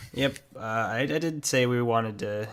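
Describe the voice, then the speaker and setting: The speaker is a man at medium pitch. His pitch varies in an ordinary way. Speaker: podcast host. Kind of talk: casual chat. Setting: podcast recording. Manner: halting, stumbles over words.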